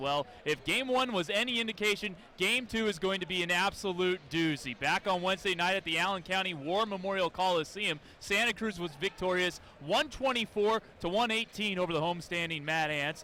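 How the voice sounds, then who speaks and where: A man's raised, projected voice at a high pitch, very even in loudness, over noticeable background noise. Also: ordinary pitch variation, fairly quick pace. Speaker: sports broadcaster. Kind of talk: on-camera sports broadcast opening, formal and polished.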